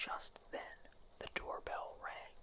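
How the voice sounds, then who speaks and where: The voice is whispering. The pace is very slow. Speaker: ASMR storyteller. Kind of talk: bedtime story reading. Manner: soft-spoken.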